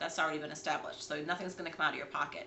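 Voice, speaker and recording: Amid noticeable background noise, a woman's voice carries audible room echo. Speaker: realtor. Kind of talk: casual livestream talk on real estate investing. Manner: fast.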